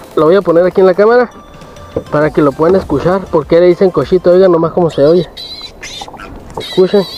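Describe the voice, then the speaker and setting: The talking moves at a fairly quick pace, broken by long, frequent pauses over noticeable background noise. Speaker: fishing vlogger. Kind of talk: casual vlog narration.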